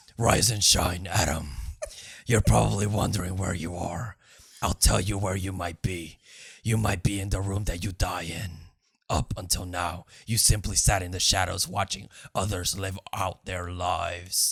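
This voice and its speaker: A man puts on a character voice with a very deep, low pitch, fairly even intonation, and a moderate pace, on a very clean recording with a silent background. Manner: ominous, menacing.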